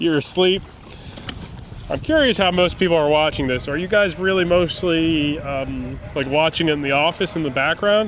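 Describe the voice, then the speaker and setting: A man at a moderate pace, his fairly high pitch showing ordinary variation, over noticeable background noise. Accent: American. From New York City, Brooklyn. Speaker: fishing YouTuber. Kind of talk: casual vlog commentary while fishing. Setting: outdoors on a kayak near a bridge.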